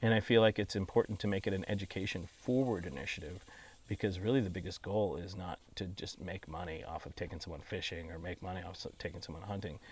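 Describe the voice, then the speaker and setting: Someone with an American accent talks at a very fast pace, somewhat breathy, with ordinary pitch variation and big swings in loudness. The recording is very clean over a silent background. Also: man, very deep, low pitch for a man. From Texas (San Antonio) and Colorado. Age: 40s. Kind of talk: interview. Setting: outdoors on a ranch.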